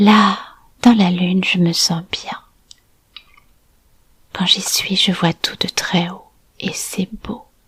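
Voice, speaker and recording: The voice has a calm, soothing tone and monotone, flat intonation, moving at a very slow pace with long, frequent pauses and big swings in loudness. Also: woman, medium pitch for a woman. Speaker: hypnotic storyteller and art therapist. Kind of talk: guided meditation for children and families. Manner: calm, slow, soothing.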